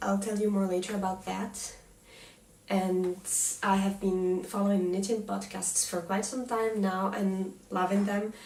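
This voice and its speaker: A woman's medium-pitched voice, flat and monotone, at a fairly slow pace, with noticeable background noise and audible room echo. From Tunisia. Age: 30s. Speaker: knitting podcaster. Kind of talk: casual chat. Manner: halting, many fillers and restarts.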